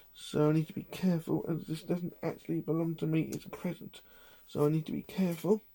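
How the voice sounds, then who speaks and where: Quiet and very fast, the voice comes in an English accent. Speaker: collector vlogger. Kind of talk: casual vlog. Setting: at home in own room. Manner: talking quietly.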